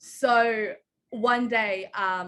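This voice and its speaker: She speaks with an Australian accent and a bright, sharp tone. This woman's pitch is fairly high, with ordinary variation. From Australia, Canberra. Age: 20s. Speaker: chef. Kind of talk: interview. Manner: casual, many fillers.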